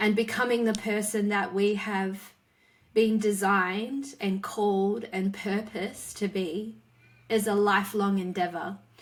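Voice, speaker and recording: A woman with an Australian accent, monotone and flat, at a fairly slow pace amid noticeable background noise. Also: medium pitch for a woman. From Western Australia. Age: 40s. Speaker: author and speaker. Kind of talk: interview conversation.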